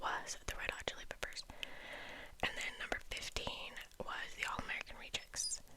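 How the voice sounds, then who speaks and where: Whispering at a moderate pace, the speaker is heard over noticeable background noise. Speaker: ASMR creator. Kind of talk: ASMR ramble. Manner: whispered.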